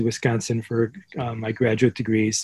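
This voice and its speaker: A man speaks at a medium pitch with an American accent. His tone is dark and mellow, and somewhat breathy. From Chicago, US Midwest. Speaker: professor. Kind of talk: interview.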